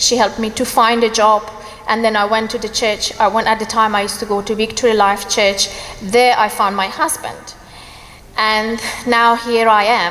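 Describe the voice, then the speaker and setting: Against noticeable background noise, a woman speaks at a moderate pace with a fairly high pitch and monotone, flat intonation. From Iran. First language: Persian. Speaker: church member giving testimony. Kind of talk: testimony. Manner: halting, hesitant.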